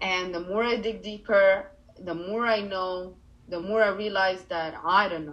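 A woman with an Arabic accent speaks at a medium pitch and a fairly slow pace, with fairly even intonation, big swings in loudness, and noticeable background noise. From Egypt, Cairo. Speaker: life coach. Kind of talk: interview.

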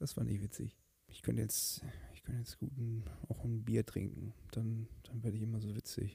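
A man with a medium pitch speaks at a moderate pace in a dark, mellow, calm, soothing tone that is somewhat breathy, with fairly even intonation and big swings in loudness. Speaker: podcast host. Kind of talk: casual solo monologue.

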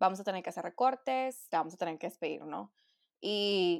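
Recorded very cleanly with a silent background, a woman with a plain, everyday voice speaks at a moderate pace and medium pitch. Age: 20s. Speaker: nutritionist. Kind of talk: casual chat.

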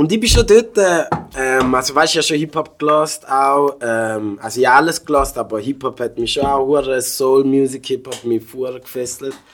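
With noticeable noise in the background, a man talks in a medium register, his pitch rising and falling in an ordinary way. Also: moderate pace. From Switzerland (St. Gallen), African family. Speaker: rapper and music producer. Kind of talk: casual chat. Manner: animated.

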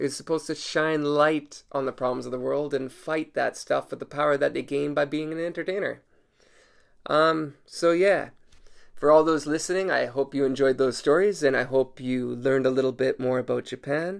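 At a moderate pace, a man talks in an ordinary speaking voice, fairly high in pitch with fairly even intonation. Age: 30s. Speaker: podcast host and comedian. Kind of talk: casual solo podcast monologue.

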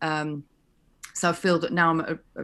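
Speaking fairly quickly, a woman with a Yorkshire accent has a fairly low pitch. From West Yorkshire, England. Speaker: fashion lecturer. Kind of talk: interview. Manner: halting, many fillers and restarts.

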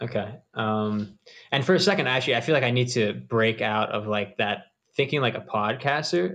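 Moderate pace, medium pitch and ordinary pitch variation in a plain, everyday voice from a man. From US East Coast. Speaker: podcast host. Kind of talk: casual interview chat. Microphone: distant room sound, poor self-recording.

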